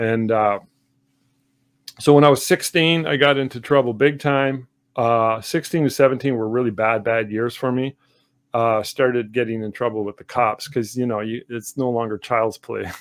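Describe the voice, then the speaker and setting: Speaking at a moderate pace with a Canadian accent, a man has an unremarkable speaking voice, medium pitch and fairly even intonation. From Canada, Sudbury Ontario. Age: 60s. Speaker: artist. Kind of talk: interview. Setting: livestream video call. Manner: reflective, with many fillers.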